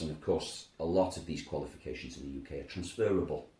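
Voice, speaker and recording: Speaking very fast in a Welsh accent, a man has a very deep, low pitch with ordinary pitch variation. His tone is dark and mellow, with vocal fry. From Wales. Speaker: language school director. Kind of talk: interview.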